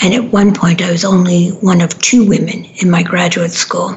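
Noticeable background noise sits behind a woman with an American accent. She keeps a medium pitch, a moderate pace and fairly even intonation. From New York City, Manhattan. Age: 70s. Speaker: radio host and relationship therapist. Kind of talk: casual monologue on a talk radio show. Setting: studio.

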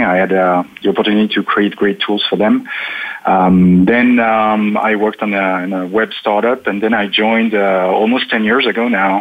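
A French accent at a moderate pace, flat and monotone in intonation, over noticeable background noise. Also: man. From eastern France near German border. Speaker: automation technology consultant. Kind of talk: panel discussion. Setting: remote call from Paris.

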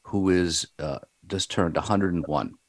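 Very deep and low, the man's voice carries vocal fry. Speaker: radio show host. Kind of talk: casual interview. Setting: talk radio studio.

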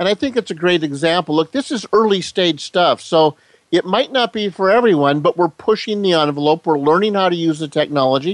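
Fairly quick speech from a man with a high-pitched voice and ordinary pitch variation, dry and close with no echo. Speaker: co-host on segment. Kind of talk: radio chat.

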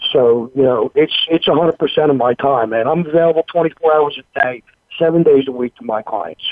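In a Philadelphia accent, a man talks at a moderate pace with a fairly high pitch and ordinary pitch variation. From Philadelphia, Pennsylvania. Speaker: recovery coach. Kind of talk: interview testimony. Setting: phone call.

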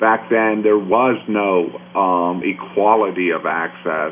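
Noticeable background noise runs beneath this recording. The man speaks with fairly even intonation. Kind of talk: radio interview.

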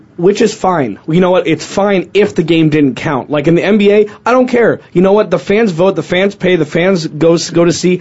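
At a high pitch, a man speaks at a moderate pace with very even loudness, ordinary pitch variation and hardly any pauses. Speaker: sports talk co-host. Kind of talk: casual chat.

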